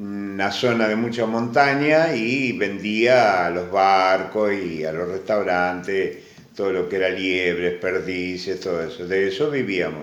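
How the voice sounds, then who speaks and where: Amid noticeable background noise and audible room echo, a fairly low-pitched man speaks fairly slowly with hardly any pauses and ordinary pitch variation. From Argentina, Necochea. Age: 70s. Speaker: immigrant grandfather. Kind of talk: interview.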